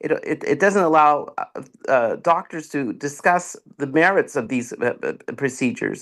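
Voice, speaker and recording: A man at a moderate pace over a quiet background. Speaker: endocrinologist testifying online. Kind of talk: public testimony at legislative hearing. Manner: halting, many repetitions and fillers.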